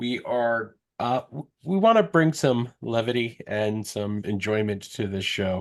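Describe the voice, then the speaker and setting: A man with an ordinary speaking voice talks at a medium pitch and fairly slow pace, with ordinary pitch variation, hardly any pauses and a quiet background. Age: 30s. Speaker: podcast host. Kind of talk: casual chat.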